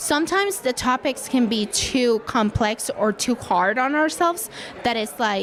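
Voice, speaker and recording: Noticeable background noise sits behind a woman speaking with a non-native accent. Her intonation is lively. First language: not English. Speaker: podcaster. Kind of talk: casual interview. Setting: live event.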